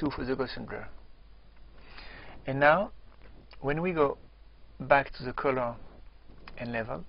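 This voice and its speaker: With a French accent, a man speaks at a medium pitch, his loudness swinging widely and his speech broken by long, frequent pauses. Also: ordinary pitch variation. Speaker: software tutorial presenter. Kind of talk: tutorial. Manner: slow; halting.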